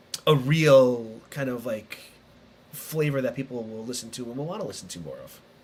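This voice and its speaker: A man speaks with big swings in loudness. Noticeable background noise runs behind him. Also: medium pitch for a man, ordinary pitch variation, moderate pace. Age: 40s. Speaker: podcast host. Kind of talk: casual interview. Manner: halting, many restarts.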